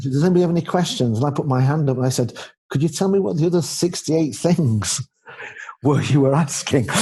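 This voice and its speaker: Speaking very fast in a Yorkshire accent, a man with a fairly high pitch keeps very even loudness and ordinary pitch variation. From Yorkshire, northern England. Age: 50s. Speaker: leadership expert and author. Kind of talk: interview conversation.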